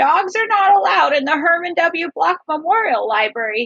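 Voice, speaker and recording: A woman uses a put-on character voice at an extremely high pitch, with very wide pitch swings. Her pace is moderate, and the sound is dry and close with no echo. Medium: read story. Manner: fluttery and proper.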